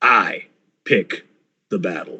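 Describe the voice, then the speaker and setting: Growling in a put-on character voice, a man speaks at a fairly slow pace with a menacing tone. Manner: growling, menacing, confrontational.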